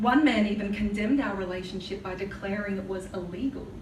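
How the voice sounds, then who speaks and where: Noticeable background noise sits behind a woman speaking at medium pitch. Her pace is moderate and her pitch variation ordinary. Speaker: spoken word poet. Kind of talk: live spoken word poetry performance. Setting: live venue.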